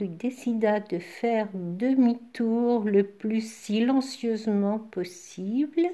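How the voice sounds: What you hear here is a natural reading voice.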